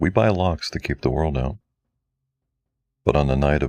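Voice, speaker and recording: A man speaks with a very deep, low pitch. The sound is dry and close, with no echo. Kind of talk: true crime narration.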